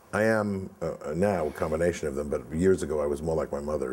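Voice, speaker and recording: A man with a New York accent talks in a very deep, low pitch. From New York (Brooklyn, Far Rockaway). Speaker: film producer; guest. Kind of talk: interview. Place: home room.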